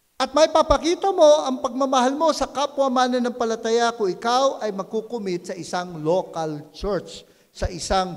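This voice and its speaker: Over noticeable background noise, a man with an extremely high voice speaks at a fairly slow pace, his pitch swinging very widely. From Philippines. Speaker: pastor. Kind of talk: sermon. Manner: conversational, repeats words and restarts.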